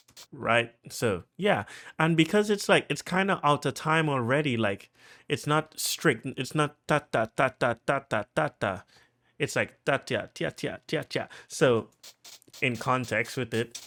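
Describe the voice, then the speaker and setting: Recorded very cleanly against a silent background with a dry, close sound and no echo, a man speaks in a bright, sharp tone at a fairly high pitch with lively intonation. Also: fairly slow pace. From Trinidad and Tobago. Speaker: music producer. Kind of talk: tutorial. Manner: casual, halting with fillers.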